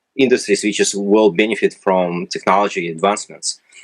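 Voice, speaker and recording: A man speaks with a Russian accent at a moderate pace. The sound is dry and close, with no echo. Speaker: retail analytics company representative. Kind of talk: interview. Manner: hesitant, many fillers.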